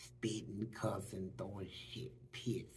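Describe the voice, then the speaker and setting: The man's voice carries audible room echo. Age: 60s. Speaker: former prisoner. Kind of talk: interview testimony. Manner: animated.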